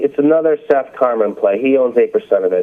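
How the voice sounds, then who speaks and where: There is noticeable background noise in this clip. A man talks at a moderate pace. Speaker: investor, stock blogger. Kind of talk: interview answer, stock market discussion.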